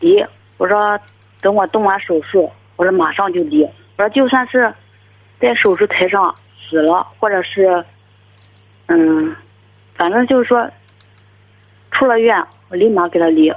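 Amid noticeable background noise, a woman of medium pitch speaks fairly slowly with lively intonation, very even loudness and long, frequent pauses. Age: 20s. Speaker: caller. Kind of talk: phone-in advice call. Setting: phone call.

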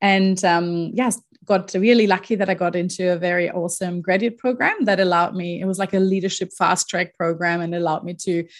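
A woman speaks at a medium pitch with a German accent. The recording is very clean with a silent background. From Germany. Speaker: leadership coach. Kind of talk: interview. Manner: hesitant with fillers.

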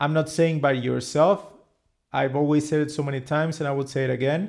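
A man with a Spanish accent speaks at a fairly high pitch. His intonation stays fairly even. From Mexico, Cancun. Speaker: podcast host. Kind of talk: interview.

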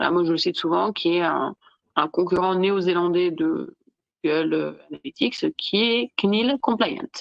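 A woman talks at a very slow pace and medium pitch. Her intonation is lively. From southern France, Nice. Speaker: digital law expert. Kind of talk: casual interview.

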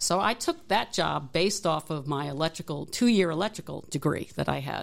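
A woman with vocal fry speaks at a fairly quick pace with ordinary pitch variation. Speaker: engineering technology professor and Navy veteran. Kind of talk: interview.

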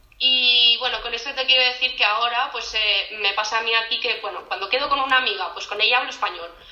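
Against noticeable background noise, a woman rushes along at a very fast pace with hardly any pauses and fairly even intonation. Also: fairly high pitch for a woman. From Catalonia, Spain (near Barcelona). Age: 30s. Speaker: podcast guest, migrant. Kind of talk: casual chat.

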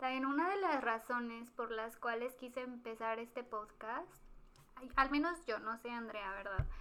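A high-pitched woman's voice with a bright, sharp tone at a fairly slow pace. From Mexico, Guanajuato. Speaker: podcast co-host. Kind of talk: casual chat.

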